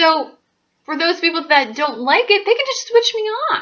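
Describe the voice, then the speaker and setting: A woman's pitch swings very widely as she talks at a moderate pace. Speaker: astrologer YouTuber. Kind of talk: casual monologue to camera. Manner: loud; animated.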